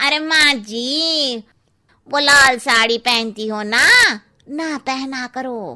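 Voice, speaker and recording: In a cartoonish character voice, a woman speaks at a very slow pace and high pitch with ordinary pitch variation. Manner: blunt, cheeky.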